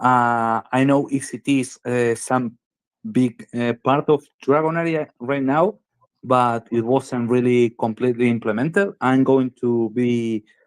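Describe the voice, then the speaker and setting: With a Spanish accent, a man speaks at a fairly slow pace and medium pitch, his intonation fairly even and the sound dry and close with no echo. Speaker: game developer founder. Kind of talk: interview. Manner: halting.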